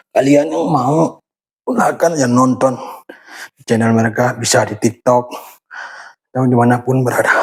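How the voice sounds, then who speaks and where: The speech moves at a moderate pace with long, frequent pauses and ordinary pitch variation. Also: man, medium pitch for a man. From Aceh, Indonesia. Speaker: YouTuber sharing workout routine. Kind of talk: casual vlog talk during exercise. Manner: halting, a bit stiff.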